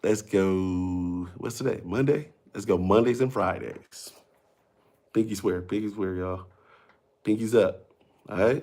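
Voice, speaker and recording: A man speaks quietly at a fairly slow pace, his pitch fairly low and his tone dark and mellow, with ordinary pitch variation. Long pauses come often, and the recording is very clean with a silent background. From Mississippi. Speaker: comedian and TV personality. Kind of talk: casual livestream chat. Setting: home livestream at night. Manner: quiet, talking low.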